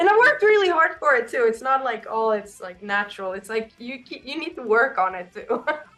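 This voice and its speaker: Amid noticeable background noise, a woman with a high pitch talks at a fairly quick pace, with very wide pitch swings and big shifts in loudness. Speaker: rock band singer. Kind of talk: interview. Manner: casual.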